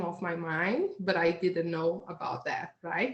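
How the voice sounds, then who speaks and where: In a Portuguese accent, a woman speaks at a fairly slow pace. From Brazil. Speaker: hypnotherapist. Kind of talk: interview. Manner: halting.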